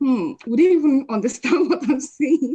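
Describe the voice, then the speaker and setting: A high-pitched woman's voice, dark and mellow in tone, with lively intonation and a moderate pace. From Nigeria. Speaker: lecturer and PhD researcher. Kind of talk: webinar Q&A talk. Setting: online live stream. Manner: animated.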